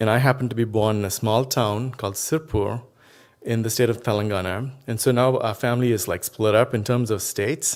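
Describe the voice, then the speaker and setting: A man with a Telugu accent talks at a fairly quick pace and medium pitch, with fairly even intonation. The recording is very clean, with a silent background. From India, Tamil Nadu. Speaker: professor. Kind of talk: keynote speech.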